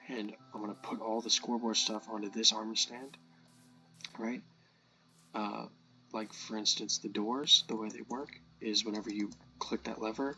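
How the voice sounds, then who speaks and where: With music in the background, a man talks at a moderate pace and medium pitch in a monotone, flat delivery, with long, frequent pauses and big swings in loudness. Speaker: game modder. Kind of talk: casual gameplay commentary.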